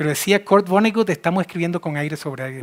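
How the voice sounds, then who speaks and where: Heard in a dry, close recording with no echo, a man speaks in an animated tone at a fairly quick pace with ordinary pitch variation. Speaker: physician and speaker. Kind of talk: conference talk. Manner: fast.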